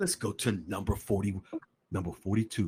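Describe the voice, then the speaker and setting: A somewhat breathy man's voice with very wide pitch swings, dry and close with no echo, on a very clean recording with a silent background. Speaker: podcast host. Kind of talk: podcast commentary reading legal document. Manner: animated.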